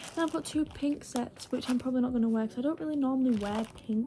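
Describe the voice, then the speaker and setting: In a British accent, the speaker moves at a fairly quick pace with ordinary pitch variation over noticeable background noise. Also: woman. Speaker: vlogger. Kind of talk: casual vlog chat. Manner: rambling, filler-heavy.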